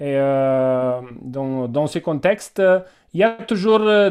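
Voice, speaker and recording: A man with a Romanian accent and a fairly high pitch talks over a quiet background. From Romania, Transylvania (Cluj). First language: Romanian (speaking French). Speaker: doctor and university teacher. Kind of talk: webinar discussion. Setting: video call. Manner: halting.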